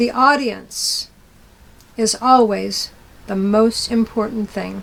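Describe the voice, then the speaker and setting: A woman's somewhat breathy voice at a fairly high pitch. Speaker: storytelling teacher. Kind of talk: lecture.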